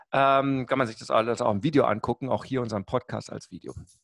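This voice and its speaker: The tone is energetic and the pace fairly quick. The sound is dry and close with no echo, against a quiet background. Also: man. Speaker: marketing coach. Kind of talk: casual chat.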